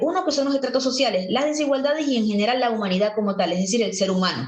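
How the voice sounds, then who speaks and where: A woman talks at a very fast pace with lively intonation and an animated tone, and audible room echo surrounds her voice. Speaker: teacher. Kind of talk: lecture.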